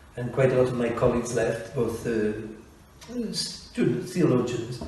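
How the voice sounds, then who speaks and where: A man with a Scottish accent at medium pitch, with audible room echo and noticeable background noise. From Scotland. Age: 70s. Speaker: priest. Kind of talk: interview.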